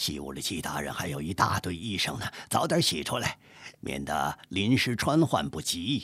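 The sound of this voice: Someone reads the text in an unforced reading voice.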